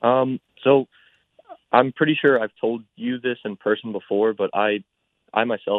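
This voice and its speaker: An unremarkable speaking voice, a man's, fairly slow and with fairly even intonation. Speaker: college student. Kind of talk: radio interview.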